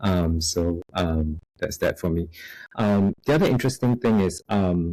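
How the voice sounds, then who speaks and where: Recorded very cleanly with a silent background, a man with a Singaporean accent speaks in a very deep, low pitch with a dark, mellow tone and ordinary pitch variation. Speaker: software quality director. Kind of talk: podcast interview. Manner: many filler words, halting.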